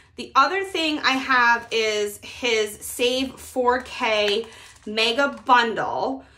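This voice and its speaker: Lively intonation from a woman with a bright, sharp tone, over light background noise. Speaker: budgeting creator. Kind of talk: casual vlog chat. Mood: upbeat, friendly. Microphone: phone near.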